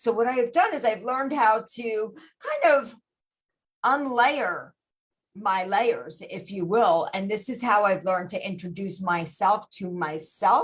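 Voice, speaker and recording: A woman talks at a fairly slow pace with lively intonation. Her voice is somewhat breathy. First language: Gujarati. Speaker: podcast host and life coach. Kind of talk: motivational podcast monologue. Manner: casual with many fillers.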